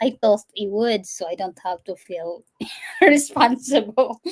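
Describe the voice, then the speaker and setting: In a Visayan Filipino accent, a woman speaks at a moderate pace with a medium pitch and lively intonation. The sound is dry and close, with no echo. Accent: Filipino (Cebuano) English. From Philippines, Cebu. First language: Cebuano. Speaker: firefighter, fitness trainer and healthcare worker. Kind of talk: interview.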